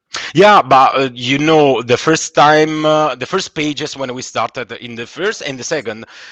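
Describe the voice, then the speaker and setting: A man talks with hardly any pauses and big swings in loudness over noticeable background noise. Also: fairly high pitch for a man, ordinary pitch variation, moderate pace. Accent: Italian. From Italy. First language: Italian. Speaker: comic book illustrator. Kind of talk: interview. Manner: halting, many false starts.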